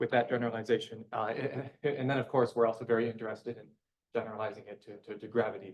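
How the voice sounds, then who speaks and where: Somewhat breathy delivery carries fairly even intonation. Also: man. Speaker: physicist. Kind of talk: lecture. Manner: halting, many repeated words.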